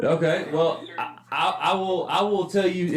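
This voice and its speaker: A man talks with an American accent. Noticeable background noise runs under his voice. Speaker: comedian and podcast host. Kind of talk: casual chat.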